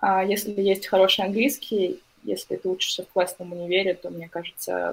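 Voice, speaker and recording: Here a woman uses a normal speaking voice at a medium pitch. Her pace is moderate. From Russia, Novosibirsk. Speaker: journalist. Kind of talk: casual chat.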